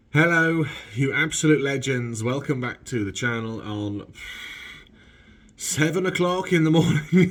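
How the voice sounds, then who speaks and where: With audible room echo, a man speaks at a fairly slow pace and a fairly high pitch, using lively intonation and long, frequent pauses. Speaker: car vlogger. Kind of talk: casual vlog. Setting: garage.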